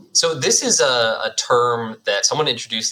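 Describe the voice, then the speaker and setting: Speech moves along at a fairly quick pace. Noticeable background noise can be heard behind it. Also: man. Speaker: tech company co-founder. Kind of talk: casual interview chat.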